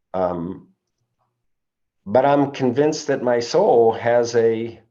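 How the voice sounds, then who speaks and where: Speaking at a very slow pace, a man's voice carries audible room echo. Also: medium pitch for a man, ordinary pitch variation. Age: 70s. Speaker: recovery meeting leader. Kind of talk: talk at a recovery meeting. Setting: recorded group meeting. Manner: halting, many fillers and repeats.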